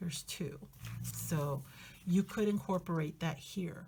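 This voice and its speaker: A woman speaks at a fairly low pitch. Her voice is somewhat breathy. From Spanish-speaking country, moved to the US. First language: Spanish. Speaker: journaling YouTuber. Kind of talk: casual tutorial chat. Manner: hesitant, many fillers.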